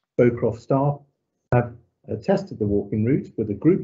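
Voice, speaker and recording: Somewhat breathy delivery at a moderate pace, very wide pitch swings, quiet background. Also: man. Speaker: local councillor. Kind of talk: formal meeting. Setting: video call. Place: home room. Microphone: video call.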